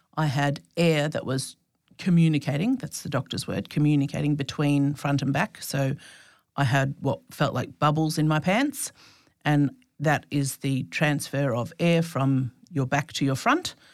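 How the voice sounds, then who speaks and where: A woman with an Australian accent speaks at a very deep, low pitch with ordinary pitch variation. Her fairly slow delivery is captured on a very clean recording with a silent background. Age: 40s. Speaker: birth trauma survivor and counsellor. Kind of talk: personal testimony.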